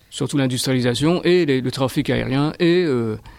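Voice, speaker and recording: The recording is very clean, with a silent background. A man talks at medium pitch with ordinary pitch variation. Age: 60s. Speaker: school gardener. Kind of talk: interview answers.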